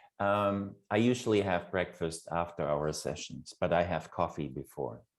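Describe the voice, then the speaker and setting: With a German accent, a man talks at a moderate pace in a very deep, low pitch, his pitch varying in an ordinary way. The recording is very clean, and the background is silent. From Germany. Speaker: program facilitator and university lecturer. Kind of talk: casual chat.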